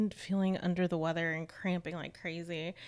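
A woman speaks at a medium pitch. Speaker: podcast co-host. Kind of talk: casual chat. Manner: animated.

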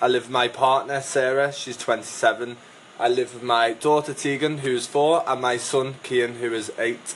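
Over noticeable background noise, a man with a northwest English accent speaks at medium pitch in monotone, flat intonation. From northwest England. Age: 20s. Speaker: podcast host. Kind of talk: casual chat. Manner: informal.

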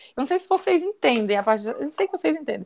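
A woman speaks in a high voice with very wide pitch swings, recorded very cleanly against a silent background. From Minas Gerais, Brazil (born in Brasília, moved as a baby). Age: 30s. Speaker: tourism graduate, holistic therapist and travel blogger. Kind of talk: casual interview.

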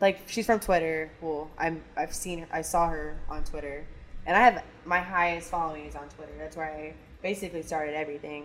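A woman speaks fairly quickly in a very deep, low pitch with fairly even intonation. There is noticeable background noise. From Kansas City area, Missouri. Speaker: emergency dispatcher and dancer. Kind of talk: casual chat.

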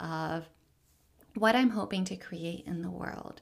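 A fairly low-pitched woman's voice with an American accent and ordinary pitch variation. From US South, Richmond, Virginia. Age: 30s. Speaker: social impact coach. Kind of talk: personal storytelling monologue.

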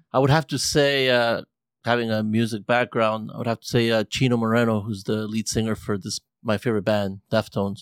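With an American accent, a man talks in an ordinary speaking voice at medium pitch and fairly even intonation, the sound dry and close with no echo on a very clean recording with a silent background. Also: fairly quick pace. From grew up locally to 14, then US West Coast. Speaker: musician. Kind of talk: casual chat.

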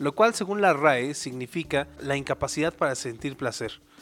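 A man speaks with an animated tone and lively intonation at a moderate pace. Music plays in the background. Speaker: podcast co-host, arts student. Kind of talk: casual comedic chat.

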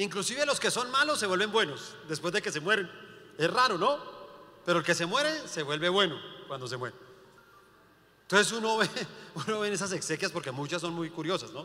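Over noticeable background noise, a man with a high pitch and an animated tone uses a raised, projected voice, very wide pitch swings and a moderate pace. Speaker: pastor. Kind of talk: sermon.

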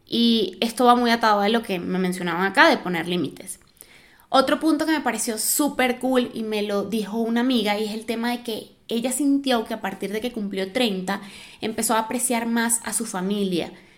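With a fairly high pitch, a woman speaks at a moderate pace. Her tone is animated, and her pitch varies in an ordinary way. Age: 30s. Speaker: podcast host. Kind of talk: casual monologue.

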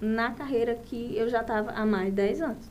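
Through audible room echo, a woman speaks at a fairly slow pace. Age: 30s. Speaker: saleswoman and course participant. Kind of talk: casual chat.

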